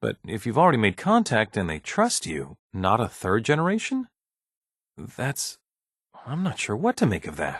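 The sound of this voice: Using a put-on character voice, a man speaks at a fairly low pitch with very wide pitch swings, a fairly bright tone and a slightly husky edge. His pace is moderate, on a very clean recording with a silent background.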